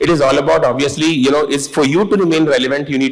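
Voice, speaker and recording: A man's fairly high voice at a very fast pace with ordinary pitch variation, against noticeable background noise. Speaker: corporate executive, panelist. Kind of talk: panel discussion.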